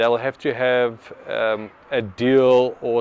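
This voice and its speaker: Medium in pitch, a man with an ordinary speaking voice keeps his intonation fairly even. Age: 40s. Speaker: business owner. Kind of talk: market research interview.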